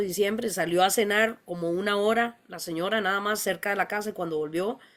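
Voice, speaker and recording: Ordinary pitch variation in a woman's voice of medium pitch. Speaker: veterinarian, panel moderator. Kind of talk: panel discussion. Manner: hesitant, many fillers.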